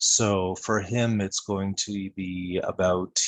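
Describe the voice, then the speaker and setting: Soft-spoken and monotone with flat intonation, a man talks very slowly at a fairly low pitch. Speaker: podcast co-host. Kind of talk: casual discussion.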